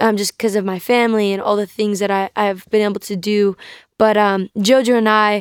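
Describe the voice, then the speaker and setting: With an American accent, a woman speaks in a normal speaking voice, fairly high in pitch, at a fairly quick pace. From US South, North Carolina. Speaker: guest sharing faith testimony. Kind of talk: testimony.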